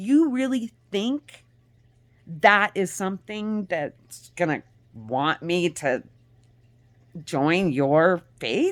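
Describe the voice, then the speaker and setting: Recorded very cleanly against a silent background, a woman's pitch swings very widely. She leaves long, frequent pauses. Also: medium pitch for a woman. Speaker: vlogger. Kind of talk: casual monologue. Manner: halting.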